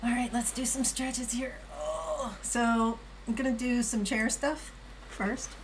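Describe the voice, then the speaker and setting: Audible room echo and noticeable background noise surround a woman talking fairly slowly. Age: 60s. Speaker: live streamer. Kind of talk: casual live-stream chat with exercise demo. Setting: home live stream on camera. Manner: casual, chatty.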